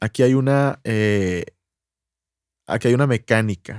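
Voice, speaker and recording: Very slowly and in a medium pitch, a man speaks with a Mexican accent on a very clean recording with a silent background and a dry, close sound with no echo. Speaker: podcast co-host. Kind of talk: casual chat.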